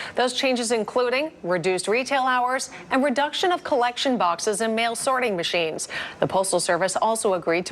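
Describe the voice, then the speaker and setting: Amid noticeable background noise, a woman with a fairly high pitch swings very widely up and down in pitch. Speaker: television news anchor. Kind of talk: TV news broadcast delivery.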